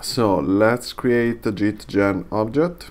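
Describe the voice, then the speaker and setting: The words come at a very slow pace, spoken with a non-native accent. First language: not English. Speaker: software tutorial creator. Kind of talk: tutorial. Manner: halting, many fillers.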